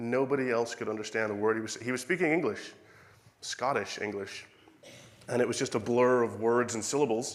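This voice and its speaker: Someone with an Irish accent talks at a fairly quick pace with ordinary pitch variation, with audible room echo. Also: man, medium pitch for a man. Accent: Irish accent, noticed by locals. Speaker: preacher. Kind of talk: sermon.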